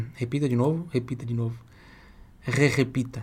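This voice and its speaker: A man speaks at medium pitch. His pace is fairly slow. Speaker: Italian language teacher. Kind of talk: online language lesson. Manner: repeats phrases slowly for learners.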